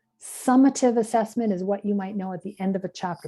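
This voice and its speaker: Medium-pitched female voice with a Canadian accent and fairly even intonation at a moderate pace, music in the background. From Canada. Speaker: ESOL tutor trainer. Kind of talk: workshop lecture.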